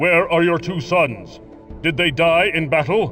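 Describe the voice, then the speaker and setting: Over clear background music, a man does a high-pitched, cartoonish character voice at a fairly slow pace. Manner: formal, archaic phrasing.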